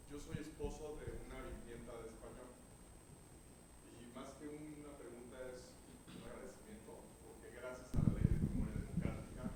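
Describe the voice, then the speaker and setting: Noticeable background noise and audible room echo accompany a man speaking at a moderate pace. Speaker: audience member. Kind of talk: audience question.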